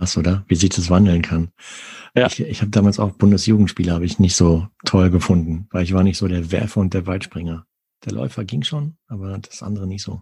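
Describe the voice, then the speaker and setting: A man speaks at a very deep, low pitch with a dark, mellow tone and a somewhat breathy quality. His pace is fairly quick with ordinary pitch variation, the sound dry and close with no echo. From Sauerland, western Germany. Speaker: podcast host. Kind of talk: casual interview.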